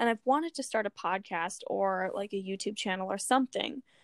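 A plain, everyday voice speaks at a moderate pace with an American accent and ordinary pitch variation. The recording is very clean, with a silent background. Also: woman, dry, close sound with no echo. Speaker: podcast co-host. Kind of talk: casual chat.

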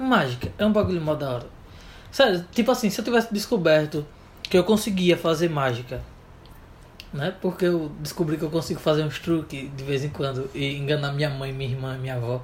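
A fairly quick pace, lively intonation and a somewhat breathy voice. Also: man, fairly high pitch for a man. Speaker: podcast co-host. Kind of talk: casual chat. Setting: home bedroom.

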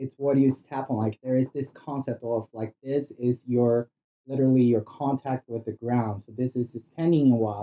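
Speaking at a moderate pace, a man with a medium-pitched voice keeps fairly even intonation while his loudness swings widely. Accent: Brazilian. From Brazil. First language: Portuguese. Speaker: cannabis industry worker. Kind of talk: casual chat. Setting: sitting on host's bed at home.

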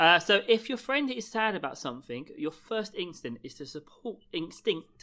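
The pace is moderate. There are hardly any pauses. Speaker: podcast co-host. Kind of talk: casual chat.

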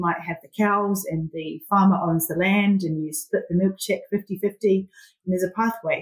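A woman in a New Zealand accent at a medium pitch and moderate pace. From New Zealand (Southland/Catlins area). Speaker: agribusiness project manager. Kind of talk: interview. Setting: remote call.

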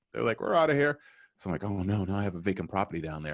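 With an American accent and a very deep, low pitch, a man races along at a very fast pace using lively intonation, the sound dry and close with no echo over a quiet background. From Boston. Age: 40s. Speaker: sales recruiting firm founder and podcast host. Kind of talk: casual interview conversation.

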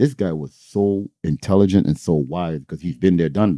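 This man has a very deep, low pitch and a dark, mellow tone, talking at a moderate pace with ordinary pitch variation in a dry, close sound with no echo against a quiet background. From Toronto, Canada. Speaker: entrepreneur and DJ. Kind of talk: casual interview. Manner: energetic.

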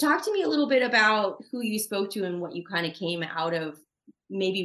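An unremarkable speaking voice from a woman, lively in intonation and moderate in pace. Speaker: podcast host. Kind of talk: casual interview.

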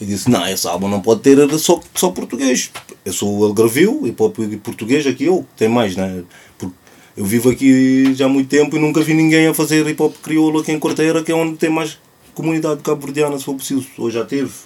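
A plain, everyday voice from a man, fairly high in pitch, with lively intonation and a fairly quick pace. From Cape Verde. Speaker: clothing brand founder, social project leader. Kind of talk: casual chat.

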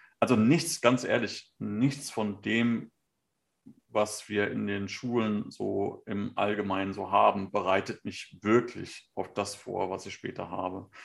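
A man speaks at a very slow pace and a fairly low pitch, with vocal fry. His pitch varies in an ordinary way. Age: 40s. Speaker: podcast co-host, photographer and designer. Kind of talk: casual chat.

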